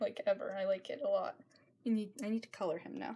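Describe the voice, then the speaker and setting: A woman's somewhat breathy, dark and mellow voice, fairly high in pitch, with lively intonation and a very fast pace. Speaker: amateur artist. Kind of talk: sketchbook tour. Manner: casual, rambling with hesitations.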